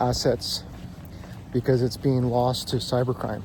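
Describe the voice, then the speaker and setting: Over noticeable background noise, a man speaks fairly slowly at a medium pitch. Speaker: crypto YouTuber. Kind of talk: casual explainer monologue. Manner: monotone; hesitant with fillers.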